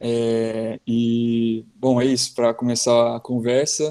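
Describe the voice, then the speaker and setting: This man's intonation is monotone and flat. His voice sits at a medium pitch with a dark, mellow tone. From southern Brazil, Joinville. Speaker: ophthalmologist. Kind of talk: live-stream interview.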